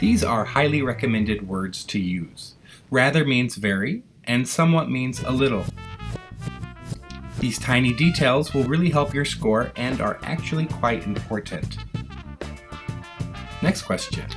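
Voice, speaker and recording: Over music in the background, a man at medium pitch speaks at a fairly slow pace with lively intonation and long, frequent pauses. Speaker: English teacher. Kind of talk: educational tutorial narration.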